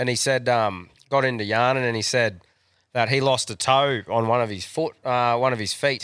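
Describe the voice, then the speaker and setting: An animated, medium-pitched male voice in a very clean recording with a silent background. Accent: Australian. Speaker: podcast co-host. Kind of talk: casual chat. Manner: crude, animated.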